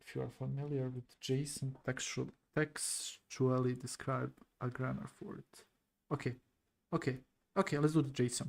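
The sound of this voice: A man with a non-native accent speaks at a fairly slow pace and medium pitch, with vocal fry and little pitch movement.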